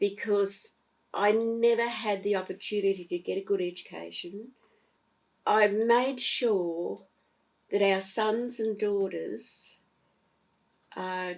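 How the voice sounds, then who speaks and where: A woman speaking very slowly, with long, frequent pauses and fairly even intonation. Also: medium pitch for a woman. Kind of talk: interview answer. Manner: gentle.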